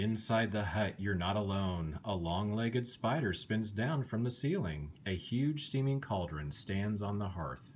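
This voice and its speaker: In a gentle, soothing tone, a man with a fairly low pitch speaks fairly slowly and with lively intonation, hardly pausing, over light background noise. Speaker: bedtime story reader. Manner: slow, animated, dramatic pauses with suspenseful emphasis and gasping character voices; gentle, soothing, kid-friendly, coaxing the listener along. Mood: calm, gently spooky storytelling. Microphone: phone near.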